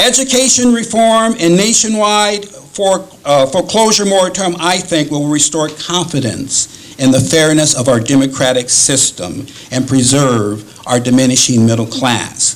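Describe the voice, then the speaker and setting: Over noticeable background noise, the voice swings very widely in pitch at a moderate pace while its loudness stays very even. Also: man, fairly high pitch for a man, hardly any pauses. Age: 60s. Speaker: political rally speaker. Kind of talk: speech. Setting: rally. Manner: halting.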